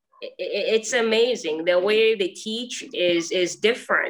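A woman's bright, sharp voice at a fairly slow pace with ordinary pitch variation. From Mauritius. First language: Mauritian Creole. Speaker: actor and acting teacher. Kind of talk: interview. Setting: video call. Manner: halting.

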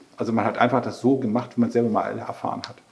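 Noticeable background noise accompanies a man speaking. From northern Germany, Schleswig-Holstein near Brunsbüttel. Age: 50s. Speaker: vocational training manager. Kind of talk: interview.

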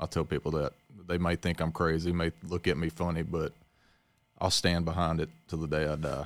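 Speaking at a fairly quick pace in a Mississippi Delta accent, a man with a very deep, low voice keeps a flat monotone, recorded dry and close with no echo against a silent, very clean background. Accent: Southern US (Mississippi Delta). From Mississippi Delta (Leland). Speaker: agricultural researcher. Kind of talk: casual chat.

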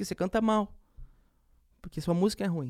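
Dark and mellow in tone yet high-pitched, a man speaks on a very clean recording with a silent background and a dry, close sound with no echo. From Campo Grande, Mato Grosso do Sul, Brazil. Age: young. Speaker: music producer. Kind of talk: interview.

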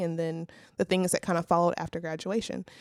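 A woman with an American accent speaks in a normal speaking voice at a fairly low pitch, with a dry, close sound and no echo. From Louisiana, US South. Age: 20s. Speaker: recent college graduate, church intern. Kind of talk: casual chat. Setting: studio.

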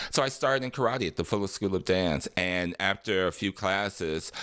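A man's very deep, low voice with vocal fry and lively intonation, at a moderate pace, in a very clean recording with a silent background. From Detroit, Michigan, US Midwest. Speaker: dancer, singer, actor, choreographer. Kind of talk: casual interview, storytelling.

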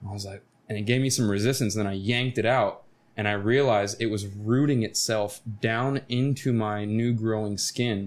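Over a very clean recording and silent background, a man with an American accent uses a plain, everyday voice at a fairly low pitch and fairly even intonation. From Florida. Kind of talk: casual chat.

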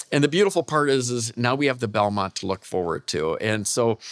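A man with a normal speaking voice, medium pitch and ordinary pitch variation, in a very clean recording with a silent background. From Michigan, US Midwest. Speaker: professor of equine exercise physiology. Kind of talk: interview.

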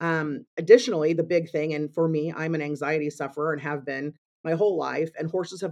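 Her voice is very deep and low, with fairly even intonation. The woman speaks at a fairly quick pace against a quiet background. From Missouri. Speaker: equine therapy ranch founder. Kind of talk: interview. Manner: frequent fillers and restarts.

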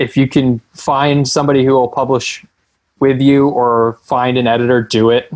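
In a normal speaking voice, a man talks at a moderate pace and medium pitch, keeping his intonation fairly even. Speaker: strength and conditioning coach. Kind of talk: podcast interview.

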